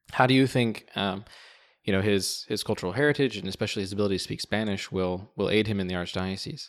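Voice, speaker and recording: A man's fairly low voice at a very fast pace with ordinary pitch variation, on a very clean recording with a silent background. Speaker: seminarian podcast co-host. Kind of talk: interview.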